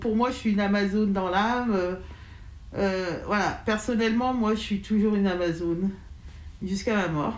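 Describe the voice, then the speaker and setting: Fairly high-pitched female speech at a moderate pace with ordinary pitch variation and long, frequent pauses, in audible room echo. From France, Lyon area. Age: 40s. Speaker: hip-hop crew leader, association president. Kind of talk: interview testimony. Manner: halting, many fillers.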